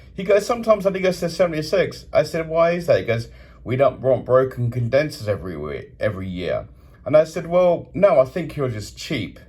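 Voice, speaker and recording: A man with an animated tone talks at a fairly quick pace, his fairly high pitch swinging very widely. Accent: British. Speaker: hotel guest reviewer. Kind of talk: complaint review monologue.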